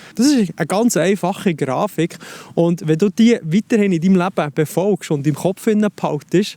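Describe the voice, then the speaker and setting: A man with a Swiss accent at a fairly slow pace, in dry, close sound with no echo. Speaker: life coach. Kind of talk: self-help advice talk to camera.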